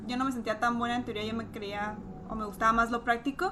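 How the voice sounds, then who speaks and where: Over noticeable background noise, a woman talks very fast in a fairly high, flat monotone. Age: 20s. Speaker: pharmacy student. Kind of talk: casual chat.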